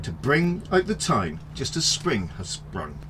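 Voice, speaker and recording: A man talks over noticeable background noise. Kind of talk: children's story reading.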